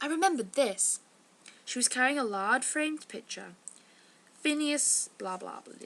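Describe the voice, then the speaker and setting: A woman with an English accent, high-pitched, with very wide pitch swings, big swings in loudness, and long, frequent pauses at a moderate pace. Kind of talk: casual novel excerpt reading.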